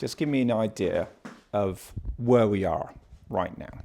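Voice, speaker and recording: Talking at a fairly slow pace, a man with a British accent uses lively intonation and a dark, mellow tone. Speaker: podcast host. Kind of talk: casual chat.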